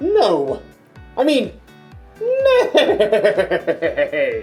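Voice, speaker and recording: Faint music plays in the background. Over it comes a put-on character voice at an extremely high pitch. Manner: silly, comic.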